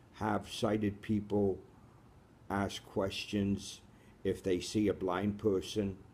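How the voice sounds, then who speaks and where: A man speaks very slowly at a fairly low pitch, leaving long, frequent pauses. His intonation is monotone and flat. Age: 60s. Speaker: radio host, blind from birth. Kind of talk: interview.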